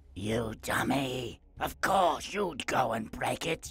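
A man puts on a raspy character voice at medium pitch. He speaks at a very slow pace. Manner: angry, scolding.

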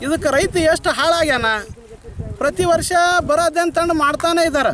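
Amid noticeable background noise, a man with a north Karnataka accent speaks at an extremely high pitch. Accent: north Karnataka rural Kannada dialect. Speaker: farmer. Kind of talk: interview complaint to reporters. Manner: animated.

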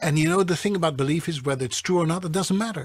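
A man speaks with lively intonation and a somewhat breathy voice. The background is quiet. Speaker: voiceover artist and coach. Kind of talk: interview answer. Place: studio.

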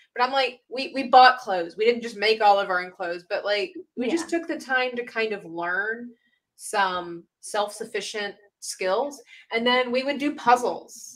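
Over a quiet background, a woman with a high voice swings very widely in pitch and shows big swings in loudness. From grew up abroad in a developing country. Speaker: art teacher and streamer; art teacher, streamer. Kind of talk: live-streamed painting tutorial. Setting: live stream with chat. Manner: animated, laughing. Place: home room.

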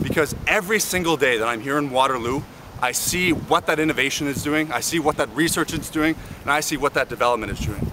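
Against noticeable background noise, a fairly high-pitched man with a Canadian accent talks at a very fast pace with ordinary pitch variation. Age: 20s. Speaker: student union president. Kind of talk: political campaign pitch to camera. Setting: outdoors. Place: open country. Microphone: phone near.

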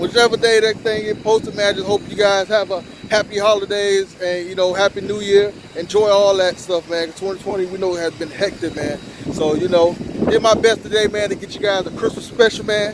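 Over noticeable background noise, a man with a high voice talks at a fairly quick pace in a flat monotone, and the sound is dry with no echo. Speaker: car vlogger. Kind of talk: casual vlog chat. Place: street. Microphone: phone near.

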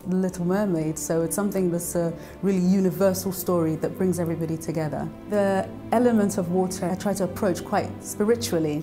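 A woman with a London accent talks at a fairly quick pace, her pitch fairly low with ordinary variation. Clear music plays in the background. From London, raised in Nigeria-born diaspora. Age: young. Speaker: singer-songwriter and composer. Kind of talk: interview answer. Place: studio. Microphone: lapel.

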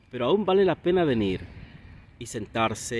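A man speaks with a Peruvian accent and lively intonation. The sound is dry with no echo, with light background noise. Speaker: Spanish teacher. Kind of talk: casual talk to camera. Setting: outdoors. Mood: calm, relaxed. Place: waterside. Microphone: phone near.

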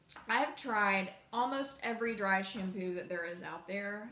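A woman speaks with ordinary pitch variation amid audible room echo and light background noise. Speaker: beauty vlogger. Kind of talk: casual vlog chat. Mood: relaxed, chatty. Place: home room. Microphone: phone near.

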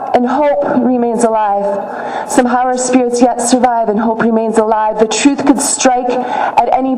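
With audible room echo, a woman with an American accent speaks at a fairly slow pace in a high pitch with fairly even intonation. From Michigan, USA. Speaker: spoken word poet and activist. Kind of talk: spoken word poetry performance. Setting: outdoors, rally at a state capitol. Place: street. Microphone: podium.

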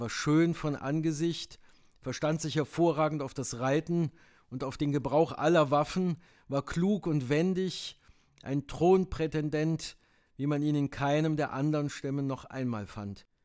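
A man with a normal speaking voice talks at a fairly high pitch and fairly slow pace with ordinary pitch variation, recorded very cleanly against a silent background. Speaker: audiobook narrator. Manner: measured, storytelling pace, formal.

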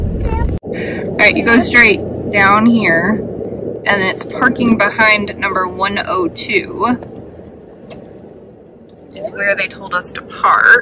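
Loud background noise surrounds a woman whose voice is dry, with no echo. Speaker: travel vlogger parent. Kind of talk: casual vlog chat. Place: car. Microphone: phone near.

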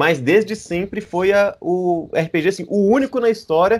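Against a quiet background, a man speaks in a high voice with ordinary pitch variation. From Brazil. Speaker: RPG translator; guest. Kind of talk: casual chat. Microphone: video call.

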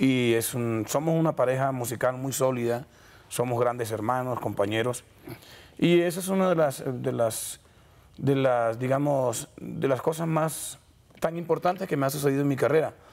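Lively intonation from a man at a fairly slow pace. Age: 30s. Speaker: vallenato singer; guest. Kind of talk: TV interview. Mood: relaxed, friendly. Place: studio. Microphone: lapel.

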